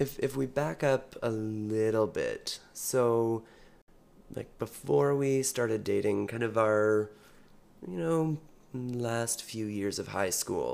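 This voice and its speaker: A man speaks in a Western Canadian accent. His pace is very slow, with ordinary pitch variation. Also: medium pitch for a man. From British Columbia, Canada. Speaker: podcast co-host, gymnastics gym director. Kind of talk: casual chat.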